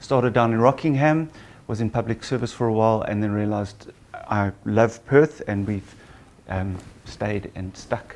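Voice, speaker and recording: Here a man speaks with a South African accent at a moderate pace. His pitch is medium, with ordinary variation. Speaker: gynecologist and obstetrician. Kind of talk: patient seminar talk.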